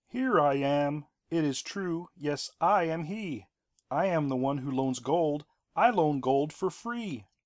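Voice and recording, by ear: At a fairly slow pace, a man uses a put-on character voice pitched fairly high. It is a very clean recording with a silent background.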